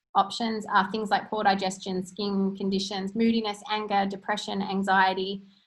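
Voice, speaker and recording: A woman's somewhat breathy voice stays in a flat monotone. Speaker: natural health practitioner. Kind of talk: webinar presentation. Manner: fast.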